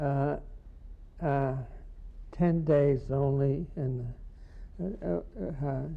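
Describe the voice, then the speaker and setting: Very slow speech with an American accent, ordinary pitch variation, long and frequent pauses, and audible room echo. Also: man, fairly high pitch for a man. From United States. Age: 80s+. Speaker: poet. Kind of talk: interview. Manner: halting.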